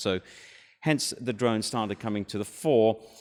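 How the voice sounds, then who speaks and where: With a British accent, a man speaks at a fairly low pitch and a moderate pace. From Britain. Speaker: startup founder. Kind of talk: conference talk. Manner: hesitant, many fillers.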